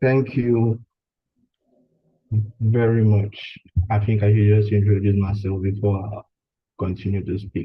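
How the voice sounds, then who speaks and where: Somewhat breathy, a man talks at a fairly slow pace in a monotone, flat delivery broken by long, frequent pauses. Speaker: graduate student. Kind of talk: online seminar talk. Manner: halting.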